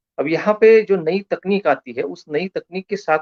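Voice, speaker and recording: A man's high voice comes through with a dry, close sound and no echo. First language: Marathi (speaking Hindi). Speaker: lecturer. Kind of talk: lecture. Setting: online live stream.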